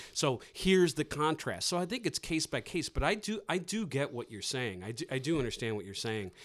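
A man with an American accent talks at a fairly quick pace with hardly any pauses, his fairly high pitch making very wide swings and carrying vocal fry. The recording is very clean, with a silent background. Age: 50s. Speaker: podcast host. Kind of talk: casual interview. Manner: halting.

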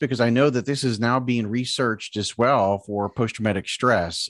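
Recorded very cleanly with a silent background and a dry, close sound with no echo, a man with an American accent uses an unremarkable speaking voice at a medium pitch and a moderate pace. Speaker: podcast host. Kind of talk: casual interview chat.

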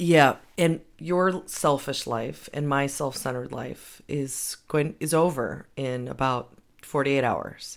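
Her very deep, low voice moves at a very slow pace with fairly even intonation and hardly any pauses. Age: 40s. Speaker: podcast host, media coach. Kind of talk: casual chat.

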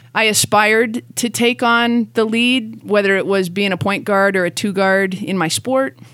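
At a moderate pace and with hardly any pauses, a woman uses a normal speaking voice of medium pitch and ordinary pitch variation. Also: very even loudness. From Canada. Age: 50s. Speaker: gym owner and general manager. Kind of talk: interview.

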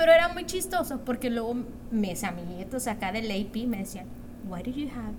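Female speech caught amid noticeable background noise and audible room echo. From Mexico, Monterrey. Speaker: guest. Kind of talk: casual chat.

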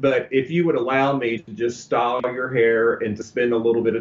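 A man with a Texan accent talks fairly quickly at a medium pitch, his pitch varying in an ordinary way, with noticeable background noise behind him. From Texas. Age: 50s. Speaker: celebrity hairstylist and author. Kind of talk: interview. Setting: studio.

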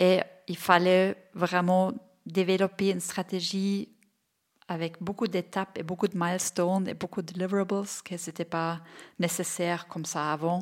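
On a very clean recording with a silent background, a woman speaks at a fairly slow pace in a medium-pitched, monotone, flat voice. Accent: German. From Bavaria, Germany. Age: 40s. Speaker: entrepreneur, childcare company founder. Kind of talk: interview. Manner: hesitant, with fillers.

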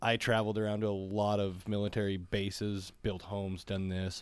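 A man with a plain, everyday voice speaks at a moderate pace with a fairly low pitch. The recording is very clean, with a silent background. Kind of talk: casual interview. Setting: studio.

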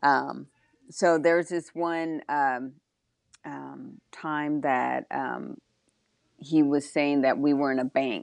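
A warm-toned woman's voice with ordinary pitch variation and a quiet background. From Texas. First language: Spanish. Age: 40s. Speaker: drag racing motorcycle racer. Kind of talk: casual interview chat. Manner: warm, laughs often.

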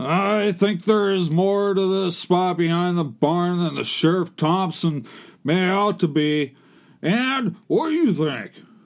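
On a very clean recording with a silent background, a gruff man speaks at a fairly slow pace in a high pitch. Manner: crabby, gruff.

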